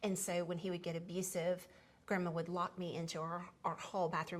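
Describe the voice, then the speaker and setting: A woman with a Southern US accent speaks at a very fast pace, her fairly low voice flat and monotone. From US South, Tennessee (Memphis). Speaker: podcast host sharing life story. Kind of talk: personal storytelling conversation. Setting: seated at home dining table. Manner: conversational with frequent fillers and restarts.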